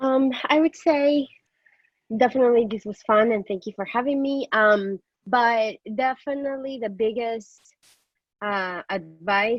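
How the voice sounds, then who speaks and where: A woman talks fairly slowly, her pitch moving in an ordinary way. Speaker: hiring manager on interview panel. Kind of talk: panel feedback.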